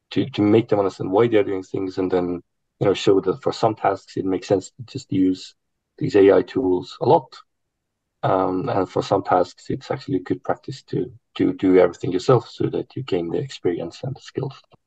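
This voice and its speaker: A man with a fairly low pitch speaks in a dark, mellow tone that is somewhat breathy, with ordinary pitch variation and a dry, close sound with no echo. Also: moderate pace. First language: not English. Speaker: university academic, panelist. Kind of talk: online panel discussion. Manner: hesitant, many fillers.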